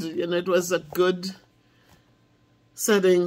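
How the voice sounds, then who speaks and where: A woman's fairly low voice in a Jamaican accent, at a fairly slow pace. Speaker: math teacher. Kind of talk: casual talk to camera.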